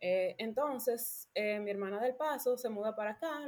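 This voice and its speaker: A woman's fairly high voice in a Dominican accent, with ordinary pitch variation. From Dominican Republic. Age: 20s. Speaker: architect. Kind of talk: podcast interview, personal story.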